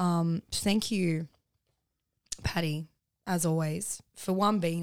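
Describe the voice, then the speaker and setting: On a very clean recording with a silent background, a woman talks with an Australian accent. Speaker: podcast host. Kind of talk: casual chat.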